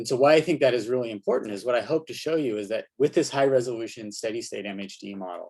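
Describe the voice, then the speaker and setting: A man's voice with ordinary pitch variation over a quiet background. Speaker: solar physicist. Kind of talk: conference talk. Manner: fast.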